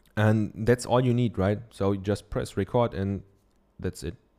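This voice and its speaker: The voice carries a German accent and a dark, mellow tone. The recording is very clean, with a silent background. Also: man. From Germany. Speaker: podcast host and online course teacher. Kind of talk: solo podcast monologue, tutorial-style advice. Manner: filler-heavy, halting with many ums.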